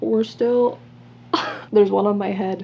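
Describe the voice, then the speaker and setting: A woman's voice comes through with noticeable background noise around it. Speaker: book YouTuber. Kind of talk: casual vlog chat. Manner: fast; animated.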